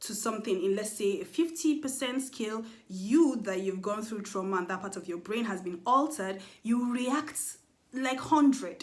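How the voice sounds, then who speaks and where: Here a woman has a fairly high pitch with ordinary pitch variation and a somewhat breathy voice. Audible room echo surrounds her. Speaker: mental health vlogger. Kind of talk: educational monologue. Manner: fast.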